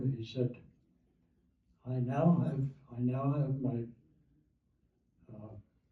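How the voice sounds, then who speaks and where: Very slow and broken by long, frequent pauses, a man's somewhat breathy medium-pitched voice keeps fairly even intonation. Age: 80s+. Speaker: war veteran. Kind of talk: oral history talk.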